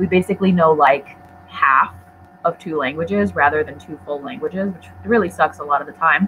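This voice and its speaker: A woman speaks with a very deep, low pitch, her pitch swinging very widely and her loudness varying a lot. Music plays behind her. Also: fairly quick pace. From Poland. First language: Polish. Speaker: book YouTuber. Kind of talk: casual livestream chat. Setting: livestream on laptop.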